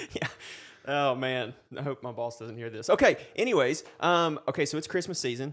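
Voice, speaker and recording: Moderate pace and ordinary pitch variation in an unremarkable speaking voice, very cleanly recorded against a silent background. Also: man, fairly high pitch for a man. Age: 20s. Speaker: faith-based sports ministry podcast host. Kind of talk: casual faith interview chat.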